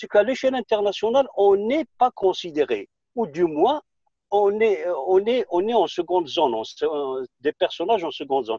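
In a dry sound with no echo and a quiet background, a man with a high pitch and a dark, mellow tone talks at a moderate pace with very wide pitch swings. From Algeria, Kabylie; Algeria. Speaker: film director; guest. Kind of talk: interview. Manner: hesitant, with fillers. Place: car. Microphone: video call.

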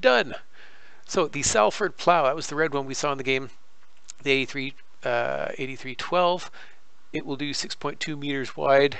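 A man with a Canadian accent, fairly high in pitch, at a fairly slow pace with ordinary pitch variation and audible room echo. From Canada. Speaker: gaming YouTuber. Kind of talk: tutorial. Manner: halting, many fillers.

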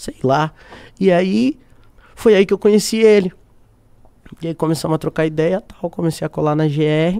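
A man talks at a high pitch and a moderate pace, his tone dark and mellow with ordinary pitch variation. Long, frequent pauses break up his speech over a quiet background. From Brazil. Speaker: singer-songwriter; podcast guest. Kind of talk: casual interview chat. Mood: relaxed storytelling. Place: studio. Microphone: studio mic.

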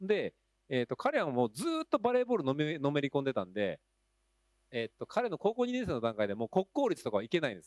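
A man at a very fast pace with fairly high pitch, very wide pitch swings and big swings in loudness, in dry sound with no echo and a quiet background. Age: 40s. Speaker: school teacher and panel moderator; school teacher, panel moderator. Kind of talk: panel discussion. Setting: stage with audience. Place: hall. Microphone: handheld.

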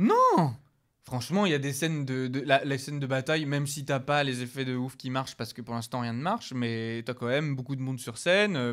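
This is an ordinary speaking voice, its pace moderate and its pitch variation ordinary. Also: man. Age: 30s. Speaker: podcast co-host. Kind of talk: casual chat.

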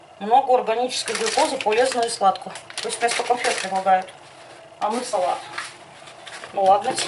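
Over noticeable background noise, a woman speaks at a moderate pace with lively intonation. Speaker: home cooking vlogger. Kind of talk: casual vlog chat. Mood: chatty, humorous. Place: kitchen. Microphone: phone near.

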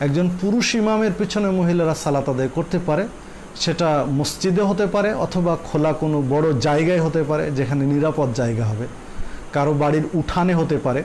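A man talks at a very even loudness with ordinary pitch variation over light background noise. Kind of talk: religious Q&A explanation. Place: studio. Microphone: lapel.

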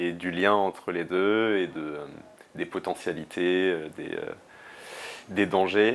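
A man's very deep, low voice at a very slow pace, with fairly even intonation and long, frequent pauses. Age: 20s. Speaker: student and climate activist; interviewee. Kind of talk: interview; interview answer. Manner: halting, many fillers and repetitions. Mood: reflective, thoughtful. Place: home room. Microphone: lapel.

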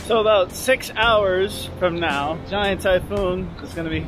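Clear music plays behind a man whose voice has ordinary pitch variation and a dry sound with no echo. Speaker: travel vlogger. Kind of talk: casual vlog chat. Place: beach. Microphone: phone near.

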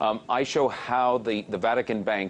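A man talks with fairly even intonation while light background noise plays behind him. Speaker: remote interview guest. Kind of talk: interview answer. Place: studio. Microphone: lapel.

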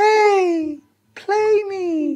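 An extremely high-pitched, squeaky put-on character voice. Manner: coaxing, inviting.

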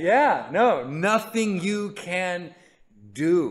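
Here a man is speaking. He has an American accent. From California. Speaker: pastor. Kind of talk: Bible study teaching; sermon / Bible teaching. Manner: casual, conversational with hesitations. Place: stage.

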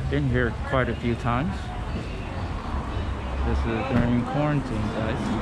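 Music plays in the background as a man speaks. His pace is fairly slow, with ordinary pitch variation. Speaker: vlogger. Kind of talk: casual vlog chat. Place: street. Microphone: phone near.

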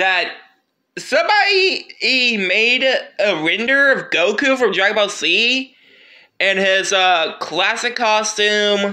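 With a raised, projected voice and a bright, sharp tone, a man speaks very slowly at a high pitch, keeping very even loudness and ordinary pitch variation. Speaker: gaming YouTuber. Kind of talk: casual video commentary. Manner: halting, many fillers.

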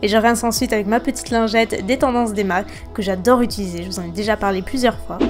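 Clear music sounds in the background while a woman talks. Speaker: beauty vlogger. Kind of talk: tutorial narration.

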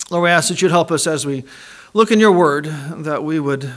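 Using ordinary pitch variation, a man talks at a fairly quick pace. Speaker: chapel preacher. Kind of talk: sermon. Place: church.

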